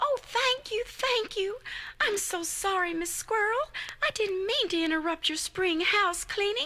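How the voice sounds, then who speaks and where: A squeaky, put-on character voice at a moderate pace over light background noise. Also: female-sounding voice, extremely high pitch for a woman. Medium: read story.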